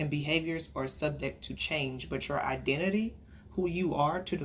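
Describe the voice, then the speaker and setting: Her voice is very deep and low, with vocal fry and fairly even intonation at a moderate pace. The woman's speech carries an audible room echo. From Texas, Dallas. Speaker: counselor. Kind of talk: lecture.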